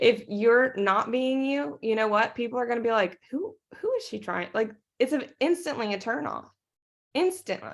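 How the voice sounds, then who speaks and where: On a very clean recording with a silent background, a woman with a fairly high pitch talks at a moderate pace with lively intonation. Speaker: network marketing team leader. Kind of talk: team training talk. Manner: animated.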